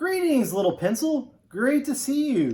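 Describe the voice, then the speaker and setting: Putting on a character voice, a man growls at an extremely high pitch and a moderate pace, his pitch swinging very widely. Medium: read story. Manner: menacing.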